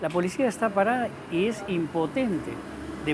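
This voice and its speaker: A man's pitch swings very widely. Audible room echo and noticeable background noise surround him. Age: 70s. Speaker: talk show host. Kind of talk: casual chat.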